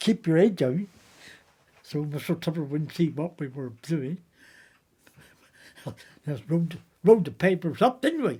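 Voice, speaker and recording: In a strong West Country accent, the speaker moves at a fairly slow pace with a dark, mellow tone and lively intonation. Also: man. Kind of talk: anecdotal storytelling.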